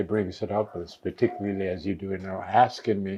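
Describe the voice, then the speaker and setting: A man talks at a fairly quick pace in a monotone, flat intonation with a fairly low pitch. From Virgin Islands, St. Croix. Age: 80s+. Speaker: elder community member. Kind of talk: interview.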